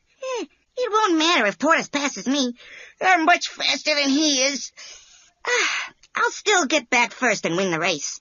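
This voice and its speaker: A put-on character voice with a high pitch and very wide pitch swings moves at a moderate pace, broken by long, frequent pauses. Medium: read story. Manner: cocky, boastful.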